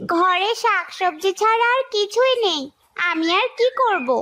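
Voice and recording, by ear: A cartoonish character voice from a woman, extremely high in pitch, with lively intonation, very even loudness and a moderate pace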